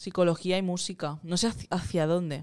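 With music behind her, a woman speaks at a moderate pace in a fairly low voice. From Catalonia (Moncada). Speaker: singer-songwriter and producer. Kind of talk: casual interview chat.

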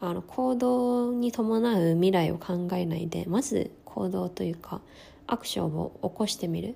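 A woman with a fairly low pitch and lively intonation speaks at a fairly slow pace. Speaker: podcast host. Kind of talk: personal monologue. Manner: stumbling over words.

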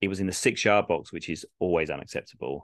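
Speaking in an English accent, a man has a very deep, low pitch. He talks at a fairly quick pace. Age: 30s. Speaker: podcast host, football fan. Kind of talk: casual chat; live commentary.

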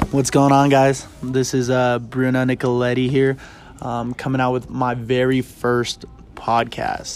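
With music in the background, a man of medium pitch talks in a monotone, flat intonation. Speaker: podcast host. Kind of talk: casual chat. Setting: bookstore, public indoor space. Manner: loud.

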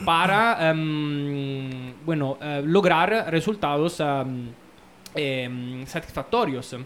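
Amid noticeable background noise, a man with an Italian accent speaks very slowly with ordinary pitch variation. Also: fairly high pitch for a man. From Italy. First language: Italian (speaking Spanish). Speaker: anthropologist. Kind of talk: casual chat. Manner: halting.

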